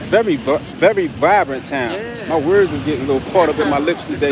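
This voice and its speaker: A man's voice, dry with no echo, amid noticeable background noise. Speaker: travel vlogger. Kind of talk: casual livestream chat. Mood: relaxed, cheerful. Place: street. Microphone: phone near.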